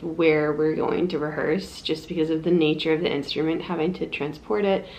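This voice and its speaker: A soft-spoken woman with a fairly low pitch talks at a moderate pace in a flat monotone over noticeable background noise. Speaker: flute player and vlogger. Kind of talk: vlog.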